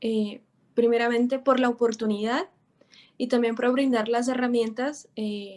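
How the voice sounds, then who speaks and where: A woman speaks fairly slowly at a high pitch, with intonation kept fairly even. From Brazil. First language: Portuguese (speaking Spanish). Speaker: writer, contest winner. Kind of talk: acceptance remarks on a broadcast.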